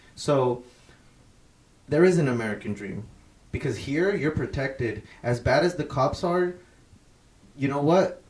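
Somewhat breathy and fairly high in pitch, a man speaks at a fairly slow pace with lively intonation and long, frequent pauses. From Mexico. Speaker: podcast co-host. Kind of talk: casual chat.

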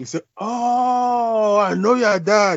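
A man is speaking. He talks with a Nigerian accent. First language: Igbo. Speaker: academic and author. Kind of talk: interview. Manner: halting.

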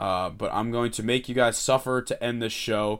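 With an American accent, a man speaks at medium pitch in monotone, flat intonation, captured in a very clean recording with a silent background. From Delaware County, Pennsylvania. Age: 20s. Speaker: podcast host and college student. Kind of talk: solo podcast commentary. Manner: casual, conversational.

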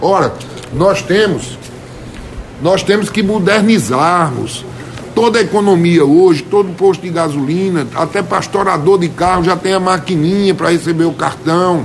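The speech moves at a fairly slow pace. Noticeable background noise and audible room echo surround it. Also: man, high pitch for a man, ordinary pitch variation. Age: 50s. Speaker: state legislator. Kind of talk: radio interview.

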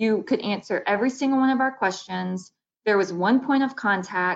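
A woman with an Alabama accent at a moderate pace, her pitch varying in an ordinary way. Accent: US Southern (Alabama). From Baldwin County, Alabama. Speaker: economic development director. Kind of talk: interview.

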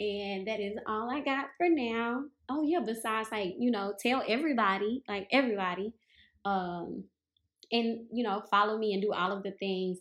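Her pitch fairly high and varying normally, a woman speaks with a Southern US accent. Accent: Southern drawl, noticeable. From US South, Mississippi. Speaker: yoga and meditation teacher, podcast host. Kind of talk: casual introduction monologue. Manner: halting, many fillers.

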